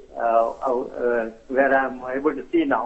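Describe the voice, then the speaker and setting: Over noticeable background noise, a man speaks at a fairly slow pace. His medium-pitched voice has monotone, flat intonation. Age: 60s. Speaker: caller. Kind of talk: phone-in call. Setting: phone call. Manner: halting, many fillers.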